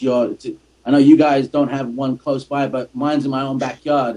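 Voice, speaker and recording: With an English accent, a man speaks at a moderate pace in a dark, mellow tone, with medium pitch and monotone, flat intonation. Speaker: soccer podcast host and commentator. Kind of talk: casual podcast chat.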